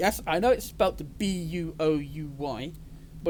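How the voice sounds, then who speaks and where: With a British accent, a man speaks at a fairly high pitch and ordinary pitch variation. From Britain. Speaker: gaming YouTuber. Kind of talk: gameplay commentary. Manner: casual.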